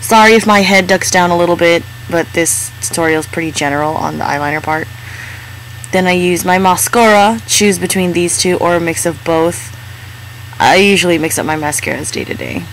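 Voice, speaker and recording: A woman's fairly quick, lively-sounding speech against noticeable background noise. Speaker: beauty vlogger. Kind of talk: makeup tutorial voiceover.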